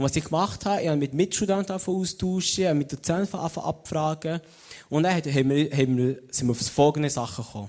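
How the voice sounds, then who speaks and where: Fairly high in pitch, a man with an unremarkable speaking voice talks at a fairly quick pace with lively intonation. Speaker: theology student and lay preacher. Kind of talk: sermon. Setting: stage with audience.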